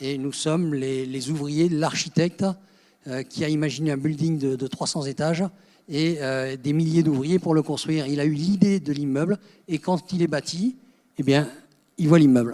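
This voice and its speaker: With a dark, mellow tone and fairly high pitch, a man speaks with fairly even intonation and long, frequent pauses. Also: moderate pace. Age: 70s. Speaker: spiritual speaker. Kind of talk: conference talk. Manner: halting, many repetitions.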